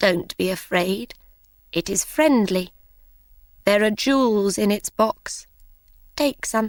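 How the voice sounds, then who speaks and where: Using a put-on character voice, a woman speaks at a fairly slow pace with medium pitch and long, frequent pauses, in a dry, close sound with no echo. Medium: read story.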